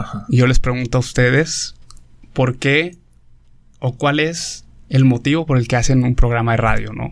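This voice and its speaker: A man speaks in a normal speaking voice at a medium pitch and moderate pace, with fairly even intonation. The recording is very clean, the background silent. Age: 30s. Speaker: philosophy graduate, priest. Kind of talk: casual explanatory talk on philosophy.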